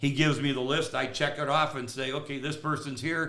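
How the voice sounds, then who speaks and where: A fairly high-pitched man's voice with a bright, sharp tone, monotone, flat intonation, a fairly quick pace and audible room echo. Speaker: realtor. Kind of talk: casual chat. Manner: rambling with fillers.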